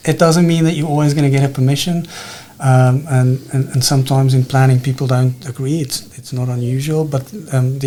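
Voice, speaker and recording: With a South African accent, a man talks at a fairly quick pace in a medium pitch, and background noise is noticeable. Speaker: planning official. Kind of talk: interview. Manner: hesitant, many fillers.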